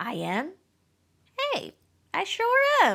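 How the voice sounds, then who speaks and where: Squeaky and pitched extremely high, a woman's put-on character voice comes through. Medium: read story. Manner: folksy, Southern "y'all" speech.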